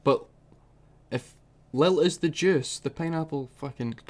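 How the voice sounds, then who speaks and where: In a Scottish accent, a man speaks at a fairly slow pace with ordinary pitch variation. The recording is very clean, with a silent background. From Scotland. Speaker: music reaction youtuber. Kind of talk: casual reaction commentary.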